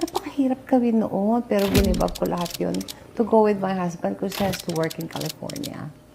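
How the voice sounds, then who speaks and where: Amid noticeable background noise, a woman at a medium pitch speaks fairly quickly with lively intonation. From Philippines. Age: 60s. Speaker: retired actress. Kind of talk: interview. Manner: casual, mixing Tagalog and English.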